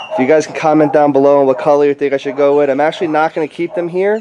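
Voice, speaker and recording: A man talks at a very fast pace with a fairly high pitch and ordinary pitch variation. There is noticeable background noise. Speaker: aquarium hobbyist YouTuber. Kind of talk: casual video update.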